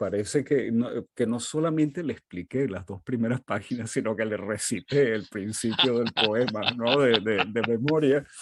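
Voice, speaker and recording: A man at medium pitch and a fairly slow pace, with ordinary pitch variation, against a quiet background. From Venezuela (Caracas), Portuguese-speaking family. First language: Portuguese (speaking Spanish). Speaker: literary critic and professor. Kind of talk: interview conversation.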